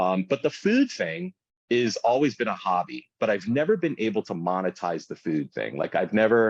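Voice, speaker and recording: A man speaks in an ordinary speaking voice, at a medium pitch and a moderate pace. His intonation is lively, and the sound is dry and close with no echo against a quiet background. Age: 40s. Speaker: food content creator and small business owner. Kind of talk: casual interview chat.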